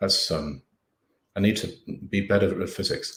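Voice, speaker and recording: Speaking with an English accent, a man uses a fairly low pitch at a moderate pace, with audible room echo. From England. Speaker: professor and writer. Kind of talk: lecture Q&A. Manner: animated, casual.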